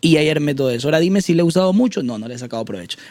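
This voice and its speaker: Dark and mellow in tone, a man's voice rises and falls with lively intonation. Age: 20s. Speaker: content creator and voice-over artist. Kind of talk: casual interview chat.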